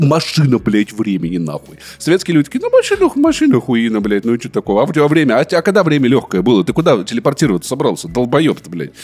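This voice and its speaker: An animated man at medium pitch, talking at a very fast pace with very wide pitch swings and hardly any pauses, over noticeable background noise. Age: 30s. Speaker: podcast co-host. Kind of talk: casual chat.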